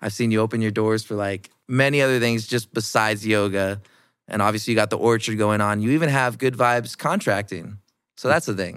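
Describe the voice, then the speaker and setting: A man with an American accent and a normal speaking voice talks at a fairly quick pace. His pitch is fairly low and his intonation fairly even. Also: very clean recording, silent background. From Iowa, US Midwest. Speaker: podcast host. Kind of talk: casual interview. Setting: studio.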